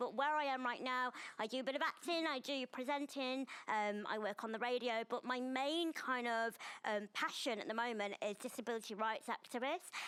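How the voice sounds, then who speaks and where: A loud, bright, sharp woman's voice, high in pitch, with a northern English accent, ordinary pitch variation and a moderate pace. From northern England. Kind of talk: panel chat show discussion.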